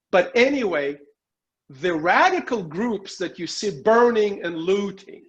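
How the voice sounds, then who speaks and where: A man with a Russian accent, high pitch, lively intonation and a fairly slow pace. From Soviet Union. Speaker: political commentator and journalist. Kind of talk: interview.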